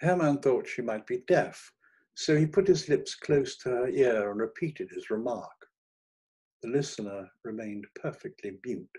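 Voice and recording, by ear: A man speaks with a dark, mellow tone and a slightly husky edge. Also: medium pitch for a man, ordinary pitch variation, fairly slow pace.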